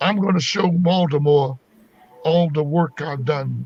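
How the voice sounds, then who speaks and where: Noticeable background noise sits behind a man with an American accent whose fairly high voice shows ordinary pitch variation. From US South, North Carolina family roots. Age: 60s. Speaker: comedian. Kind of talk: interview. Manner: animated.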